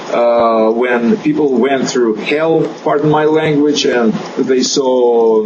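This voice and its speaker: A man of medium pitch in a Russian accent, ordinary pitch variation, audible room echo and noticeable background noise. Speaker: chiropractor. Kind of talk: interview. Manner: halting, many fillers.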